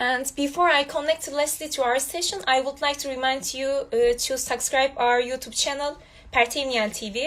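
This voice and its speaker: A woman's high-pitched voice with a Turkish accent and fairly even intonation. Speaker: student host. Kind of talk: online interview. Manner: halting.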